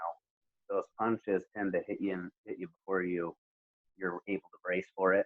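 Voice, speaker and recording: A soft-spoken man with a very deep, low pitch, monotone, flat intonation, moderate pace and big swings in loudness. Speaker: MMA fighter. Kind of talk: casual interview. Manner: halting, many fillers.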